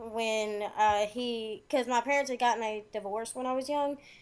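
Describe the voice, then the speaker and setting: With a high voice and ordinary pitch variation, a woman talks at a fairly slow pace. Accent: strong Southern US. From US South, Arkansas. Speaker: caller. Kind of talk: casual chat.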